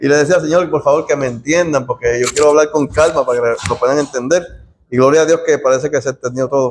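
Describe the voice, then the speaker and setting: A man talks at a very fast pace in a fairly high pitch, his loudness very even and his intonation fairly even. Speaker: Bible study teacher. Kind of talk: bible study class. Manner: soft-spoken.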